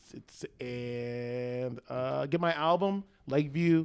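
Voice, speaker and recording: An animated man with ordinary pitch variation against a quiet background. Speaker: comedian; podcast guest comedian. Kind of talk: casual chat. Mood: joking, playful. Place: home room. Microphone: handheld.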